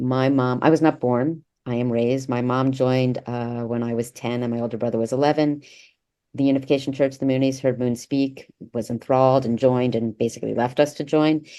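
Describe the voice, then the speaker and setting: At a fairly quick pace, a woman talks in a very deep, low pitch with a dark, mellow tone and monotone, flat intonation. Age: 60s. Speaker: author and former cult member. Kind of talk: interview.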